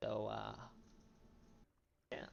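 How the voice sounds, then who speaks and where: Soft-spoken, the speaker proceeds at a fairly slow pace. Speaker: gaming youtuber. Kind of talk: gameplay commentary. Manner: halting. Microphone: poor quality, quiet mic.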